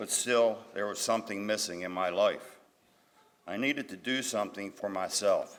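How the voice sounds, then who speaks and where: Over noticeable background noise, a man with a fairly low voice talks at a moderate pace. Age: 60s. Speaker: GED graduate. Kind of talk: graduation speech.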